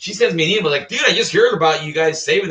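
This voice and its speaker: A man with an American accent at a very fast pace. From California. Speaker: Coast Guard veteran. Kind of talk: casual storytelling vlog. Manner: animated.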